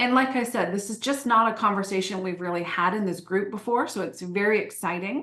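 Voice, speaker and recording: This woman's pitch is medium, with ordinary variation. She speaks at a fairly quick pace with hardly any pauses. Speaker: Pinterest marketing trainer. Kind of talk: online training webinar. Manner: animated.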